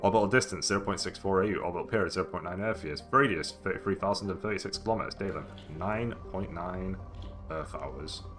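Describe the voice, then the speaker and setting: With music in the background, the speaker talks at a very fast pace in a British accent, using ordinary pitch variation. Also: man, fairly low pitch for a man. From UK. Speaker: gaming streamer. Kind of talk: reading aloud.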